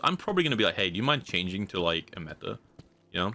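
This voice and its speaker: A man talks with lively intonation. Music runs behind him. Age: 20s. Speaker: video game streamer. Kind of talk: casual live-stream chat while gaming. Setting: live stream. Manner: fast; animated.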